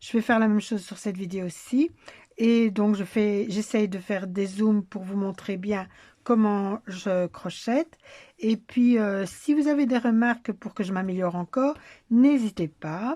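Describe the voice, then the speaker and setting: A woman talks at a fairly slow pace in a medium pitch with a dark, mellow tone and ordinary pitch variation. The recording is very clean, with a silent background. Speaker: crochet tutorial creator. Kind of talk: tutorial. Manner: halting, with filler hesitations.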